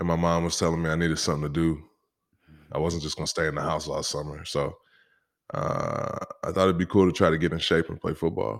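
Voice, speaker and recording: A man's very deep, low voice at a very fast pace, with long, frequent pauses and fairly even intonation, on a very clean recording with a silent background. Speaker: musician and former football player. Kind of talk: casual interview chat.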